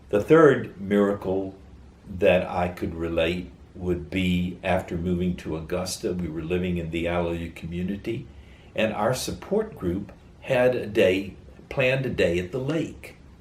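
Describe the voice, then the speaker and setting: Speaking fairly slowly with an American accent, a man with a very deep, low, somewhat breathy voice shows ordinary pitch variation, with audible room echo. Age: 70s. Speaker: interviewee sharing faith story. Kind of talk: testimony.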